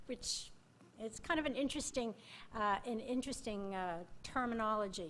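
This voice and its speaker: A woman speaks at a moderate pace in a high voice with ordinary pitch variation, and the room echo is audible. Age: 70s. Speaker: retired volunteer, senior fellow. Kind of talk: conference panel talk. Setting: conference stage with audience.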